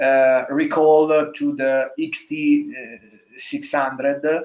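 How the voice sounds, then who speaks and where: Man with an Italian accent, fairly high in pitch, at a very slow pace and with fairly even intonation. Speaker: motorcycle designer. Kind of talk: interview. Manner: halting, many fillers.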